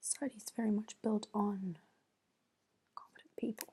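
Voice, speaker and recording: A soft-spoken woman mumbling at a fairly slow pace. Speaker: ASMR creator. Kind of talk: soft-spoken ASMR. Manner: soft-spoken, mumbling to herself. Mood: thoughtful, mildly amused. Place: home room. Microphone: earbuds.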